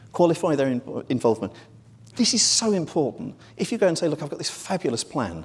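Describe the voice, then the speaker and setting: A man with a British accent talks at a fairly quick pace in a fairly high voice. His pitch swings very widely, and vocal fry creeps in. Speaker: marketing executive, conference speaker. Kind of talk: conference presentation. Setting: stage with audience. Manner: hurried, quick.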